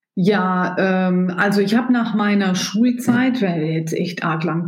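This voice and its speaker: A woman speaks with audible room echo around her. Noticeable background noise is present. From Germany, rural. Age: 50s. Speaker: business executive. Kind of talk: interview.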